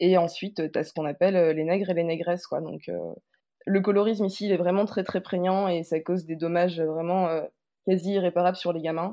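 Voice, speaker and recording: This woman's voice is fairly low in pitch with monotone, flat intonation. She talks at a fairly quick pace. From Martinique. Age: 20s. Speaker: interviewee, former law student. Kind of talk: personal testimony.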